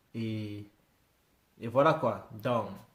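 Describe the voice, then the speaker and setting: A man speaks in a somewhat breathy voice. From Britain. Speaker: YouTuber reacting to music. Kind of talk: casual reaction commentary. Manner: halting, many hesitations.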